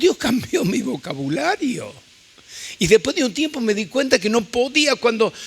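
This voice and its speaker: A man talks at a moderate pace with very wide pitch swings. There is noticeable background noise. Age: 70s. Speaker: visiting preacher. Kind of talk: sermon.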